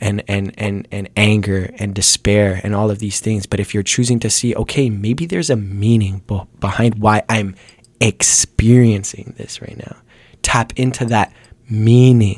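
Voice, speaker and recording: In a plain, everyday voice, a man talks at a fairly slow pace with a fairly low pitch and fairly even intonation. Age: 20s. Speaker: rapper. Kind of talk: casual chat.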